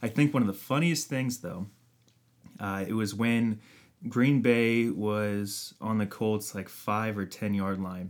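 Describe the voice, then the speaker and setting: Recorded very cleanly against a silent background, a man talks in a plain, everyday voice. His pitch is fairly low with ordinary variation, and his pace is fairly slow. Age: 30s. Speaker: sports podcast co-host. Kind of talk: casual chat.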